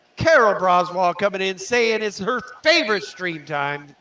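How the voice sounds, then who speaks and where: A man's raised, projected voice rings high-pitched with a bright, sharp tone and ordinary pitch variation. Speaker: aquarium hobby livestreamer. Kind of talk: casual livestream chat. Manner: loud.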